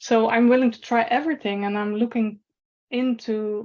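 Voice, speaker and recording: A woman with a non-native accent, at a moderate pace, with fairly even intonation. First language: not English. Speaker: patient asking questions. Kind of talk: webinar Q&A. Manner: halting.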